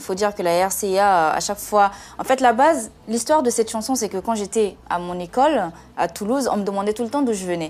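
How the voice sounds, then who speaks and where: Speaking at a moderate pace, a woman with a Central African accent keeps a medium pitch and ordinary pitch variation. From Central African Republic. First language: Sango (speaking French). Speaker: singer. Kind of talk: TV interview. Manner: halting, many hesitations.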